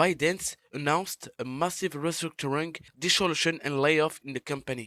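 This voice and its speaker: The speaker has a non-native accent, a moderate pace and ordinary pitch variation, recorded with a dry, close sound and no echo. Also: man. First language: French. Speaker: gaming YouTuber. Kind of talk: scripted narration.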